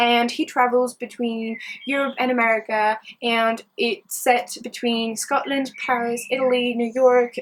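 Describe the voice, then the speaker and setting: The woman's pace is fairly slow. Her pitch is high. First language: French. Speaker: book vlogger. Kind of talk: book review vlog. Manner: enthusiastic.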